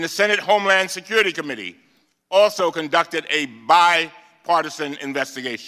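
This man speaks at a moderate pace with ordinary pitch variation. His voice is high-pitched, with a bright, sharp tone. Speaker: congressman, committee ranking member. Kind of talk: opening statement at a congressional hearing.

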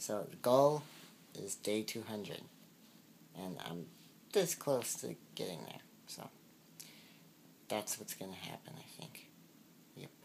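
Very slow speech from a man with a fairly low voice, very wide pitch swings and long, frequent pauses over light background noise. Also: big swings in loudness. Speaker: daily vlogger. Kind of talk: casual vlog chat. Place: home room. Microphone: phone near.

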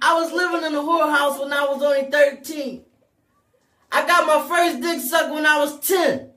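Loud and extremely high-pitched, a man speaks at a moderate pace in a bright, sharp tone. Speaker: live talk show host. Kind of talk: casual chat. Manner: animated.

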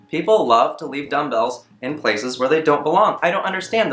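The speaker is a man. His voice carries audible room echo. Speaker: comedy vlogger. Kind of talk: comedic rant vlog. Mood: exasperated, sarcastic. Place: home room. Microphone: camera far.

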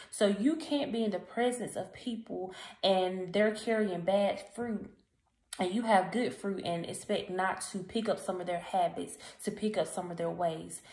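A somewhat breathy woman speaks at a fairly slow pace with ordinary pitch variation, and audible room echo is present. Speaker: encouragement vlogger. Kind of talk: casual motivational vlog talk. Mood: earnest, encouraging. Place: home room. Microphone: phone near.

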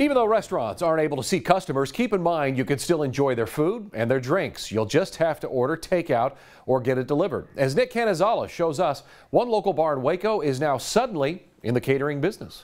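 Against a quiet background, a man talks at a very fast pace with very wide pitch swings. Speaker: news anchor. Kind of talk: news reading. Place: studio. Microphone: lapel.

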